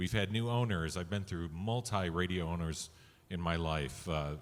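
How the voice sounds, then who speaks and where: An unremarkable speaking voice from a man, at a moderate pace with lively intonation, on a very clean recording with a silent background. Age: 60s. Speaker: radio executive. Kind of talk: panel discussion.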